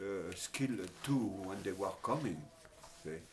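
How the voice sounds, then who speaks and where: Speaking at a fairly slow pace, a man talks with a French accent. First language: Italian, then French. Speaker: interviewee, former factory worker. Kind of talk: life story interview. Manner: halting, many fillers.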